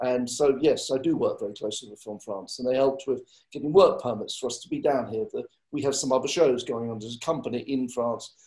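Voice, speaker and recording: A man with an English accent, medium pitch, fairly quick pace and fairly even intonation. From England. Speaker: film line producer. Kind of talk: panel discussion.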